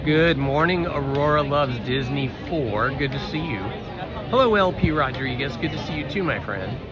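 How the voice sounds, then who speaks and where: Music plays behind a man talking at a moderate pace. His pitch varies normally, and the room echo is audible. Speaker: live streamer. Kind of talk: live stream chat. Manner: casual, halting with fillers.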